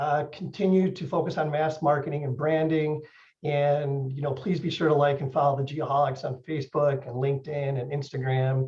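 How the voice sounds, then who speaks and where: A man speaks in a monotone, flat way with an American accent. His voice is somewhat breathy. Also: fairly high pitch for a man. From Chicago. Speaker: podcast host presenting at conference. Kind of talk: conference presentation. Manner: fast.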